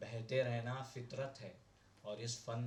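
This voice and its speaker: A man's voice sits at a medium pitch while noticeable noise fills the background. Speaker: poet. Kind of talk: poetry reading. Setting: open mic at a cafe.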